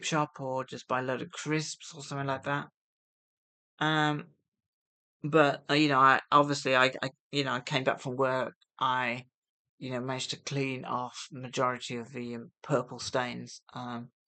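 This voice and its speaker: With a British accent, a woman speaks in a very deep, low voice that has a bright, sharp tone and monotone, flat intonation. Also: quiet background. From UK. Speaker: vlogger on gambling recovery. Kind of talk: casual vlog monologue. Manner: hesitant, many fillers; soft-spoken.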